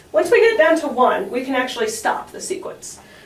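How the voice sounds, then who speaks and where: A woman talks at a fairly quick pace with very wide pitch swings. There is audible room echo. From New Mexico. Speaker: math student. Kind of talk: educational talk.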